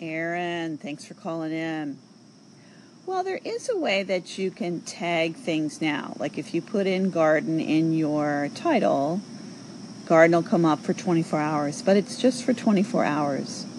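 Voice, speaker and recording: With an American accent, a woman talks at a very slow pace, her fairly low pitch carried by lively intonation. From New York. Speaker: social audio show host. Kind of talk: casual chat responding to callers.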